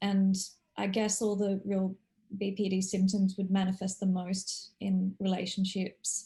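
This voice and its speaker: A somewhat breathy woman's voice, dark and mellow in tone, medium-pitched and fairly slow. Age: 40s. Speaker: course participant, former news journalist. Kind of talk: casual chat. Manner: halting.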